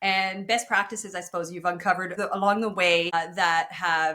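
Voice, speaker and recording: A woman speaks at a medium pitch with a French Canadian accent. Her tone is bright and sharp. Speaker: podcast host. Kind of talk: interview.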